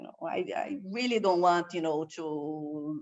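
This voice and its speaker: A woman's fairly low voice in a Brazilian Portuguese accent, fairly slow in pace, with ordinary pitch variation. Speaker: waste management expert. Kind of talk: online course presentation. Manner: halting, many fillers.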